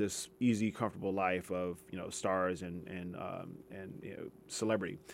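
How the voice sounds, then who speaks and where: A man with an American accent has an ordinary speaking voice and ordinary pitch variation. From US West Coast, Los Angeles. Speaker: history professor. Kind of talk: radio interview. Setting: radio studio.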